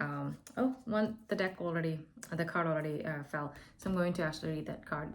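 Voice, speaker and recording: In an Indian accent, a woman talks at a fairly quick pace. Her pitch is fairly low, with ordinary variation. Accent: non-native English, Indian. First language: not English (Indian language). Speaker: tarot and oracle card reader. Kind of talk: spiritual oracle reading to camera. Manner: halting, many fillers.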